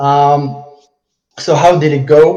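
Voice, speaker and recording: A man talks at a fairly high pitch, somewhat breathy. Audible room echo surrounds his voice. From Morocco. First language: Arabic and French. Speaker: dropshipping entrepreneur. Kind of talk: case study presentation on a live call. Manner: halting, stumbling over words.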